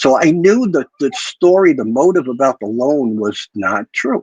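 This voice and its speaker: In a dry, close sound with no echo, a man with a plain, everyday voice talks at a fairly slow pace, his fairly high pitch carrying lively intonation. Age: 60s. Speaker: guest on mafia history livestream. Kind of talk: personal storytelling on livestream.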